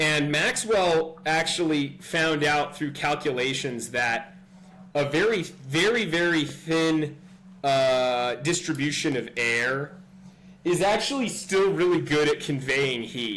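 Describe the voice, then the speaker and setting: In a Californian accent, a man with a fairly high pitch and ordinary pitch variation speaks at a very slow pace, with audible room echo. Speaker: physics tutor. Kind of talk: tutorial. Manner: hesitant, many fillers; casual.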